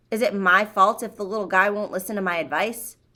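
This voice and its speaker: In a put-on character voice that is gruff and rumbling, a woman speaks at a fairly quick pace and medium pitch. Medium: read story. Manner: gruff, grumbling.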